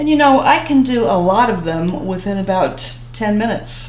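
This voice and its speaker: Room echo and noticeable background noise surround a woman's voice. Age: 70s. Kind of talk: interview.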